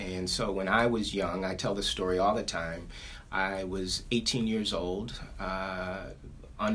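In an American accent, the speaker talks at a fairly slow pace with monotone, flat intonation. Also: man. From Ohio, US. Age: 40s. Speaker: business owner. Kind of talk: interview. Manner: halting, many fillers.

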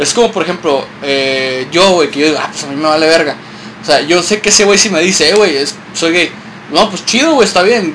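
Speaking at a very fast pace, a man uses a high pitch with ordinary pitch variation and a Mexican accent. Noticeable background noise runs behind him. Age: 30s. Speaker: podcast host. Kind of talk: casual chat.

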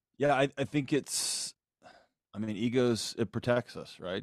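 The sound is dry and close, with no echo. A man with an American accent speaks at a moderate pace. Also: quiet background. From Texas, Houston. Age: 40s. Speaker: psychologist and author. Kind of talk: casual chat.

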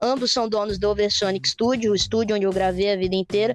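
A woman's fairly high, fairly quick, normal speaking voice. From Brazil, Espírito Santo. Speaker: rock singer. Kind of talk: casual chat.

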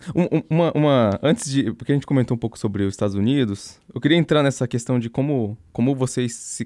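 A man speaks in a dark, mellow tone. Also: dry, close sound with no echo, very clean recording, silent background. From interior of São Paulo state, Brazil. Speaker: podcast co-host. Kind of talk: casual chat. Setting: studio.

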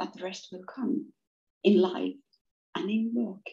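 This woman has a Finnish accent, a dark, mellow tone, vocal fry and lively intonation. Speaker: business coach. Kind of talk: interview conversation. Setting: video call. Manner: hesitant with repeated words.

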